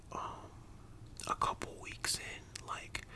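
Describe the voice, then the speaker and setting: Over noticeable background noise, a man whispers in a gentle tone. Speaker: ASMR creator telling a personal story about working at a fast-food restaurant. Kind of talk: ASMR storytime, casual talk to camera. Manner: soft whispers, gentle.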